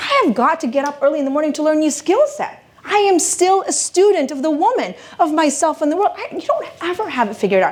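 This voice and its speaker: A woman speaks at a very fast pace with extremely high pitch, hardly any pauses and lively intonation. Her tone is animated, and there is noticeable background noise. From Philippines. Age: 40s. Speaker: motivational speaker and women's coach. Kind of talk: keynote speech. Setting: stage with live audience.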